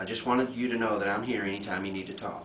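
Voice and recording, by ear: Audible room echo surrounds a man who talks at a fairly quick pace, with a fairly low pitch and ordinary pitch variation.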